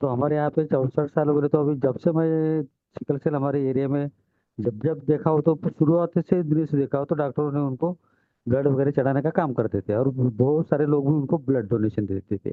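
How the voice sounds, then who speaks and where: A normal speaking voice from a man, fairly high-pitched, with ordinary pitch variation and a moderate pace. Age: 60s. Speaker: webinar participant. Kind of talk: audience question.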